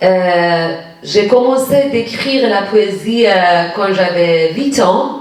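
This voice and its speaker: In a Persian accent, a woman speaks very slowly at a medium pitch with lively intonation. The room echo is audible and the background noise noticeable. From Iran. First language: Persian (speaking French). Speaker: poet. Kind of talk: public talk with audience. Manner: halting, many hesitations.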